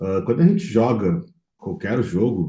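A man's somewhat breathy, dark, mellow voice of medium pitch. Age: 30s. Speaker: entrepreneur, games company founder. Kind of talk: interview conversation.

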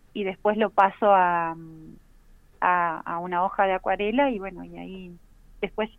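At a fairly slow pace, a woman with an unremarkable speaking voice talks at a medium pitch with fairly even intonation. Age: 30s. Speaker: illustrator and teacher. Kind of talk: casual interview.

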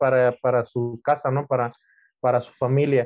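A man speaks with a Mexican accent. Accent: Mexican Spanish (Jalisco). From Guadalajara, Jalisco, Mexico. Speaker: butcher. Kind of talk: casual interview. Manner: halting, many repetitions.

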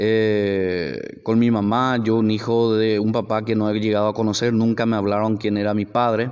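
A man's fairly low-pitched voice at a moderate pace, flat and monotone, with very even loudness and hardly any pauses. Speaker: podcaster. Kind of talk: personal testimony. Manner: halting.

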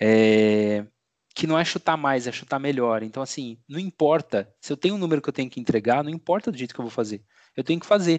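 A man's plain, everyday voice at medium pitch, with lively intonation, a fairly quick pace and big swings in loudness, sounding dry and close with no echo over a quiet background. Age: 30s. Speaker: podcast host. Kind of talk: casual chat.

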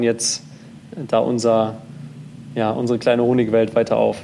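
The intonation is monotone and flat, with noticeable background noise behind it. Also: man. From North Rhine-Westphalia, Germany. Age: 20s. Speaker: startup founder. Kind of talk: interview. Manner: halting, many fillers and repetitions.

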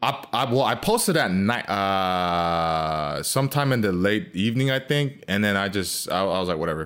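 A man's unremarkable speaking voice, fairly low in pitch, at a moderate pace with very even loudness and hardly any pauses. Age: 30s. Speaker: dating content creator. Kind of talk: casual chat.

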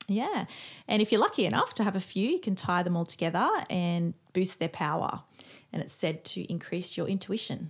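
A woman has a normal speaking voice at medium pitch with ordinary pitch variation. She goes at a fairly quick pace against a quiet background. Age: 40s. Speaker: podcast co-host, witch. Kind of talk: casual chat.

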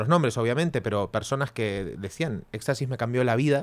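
The recording is very clean, with a silent background. It carries a plain, everyday voice with lively intonation. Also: man. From Argentina. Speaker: podcast co-host. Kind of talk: casual chat.

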